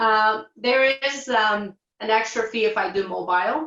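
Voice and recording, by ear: At a fairly slow pace, a woman with a Portuguese accent speaks in a fairly bright tone and fairly high pitch with ordinary pitch variation.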